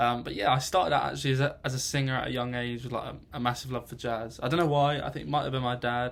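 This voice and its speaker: At a very fast pace, a man talks with a southern English accent. His pitch is medium and his intonation fairly even. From England, northwest of London. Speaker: music student. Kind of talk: personal introduction monologue. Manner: halting, many fillers.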